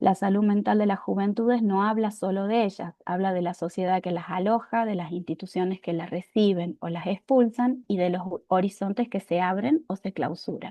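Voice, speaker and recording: In a normal speaking voice, the woman talks moderately fast at a medium pitch, her pitch varying in an ordinary way. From Argentina. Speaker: university lecturer, youth mental health researcher. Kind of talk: public talk.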